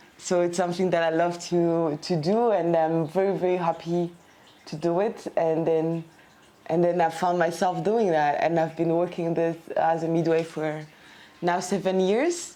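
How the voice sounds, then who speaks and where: At a moderate pace, this dark, mellow voice stays monotone and flat, with very even loudness throughout. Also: woman, fairly low pitch for a woman. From Belgium, Brussels. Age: 30s. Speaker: midwife. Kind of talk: interview. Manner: halting, many fillers.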